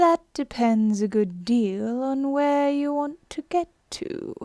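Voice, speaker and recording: Using a put-on character voice, a woman speaks fairly slowly at a high pitch. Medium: read story. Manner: sly, teasing.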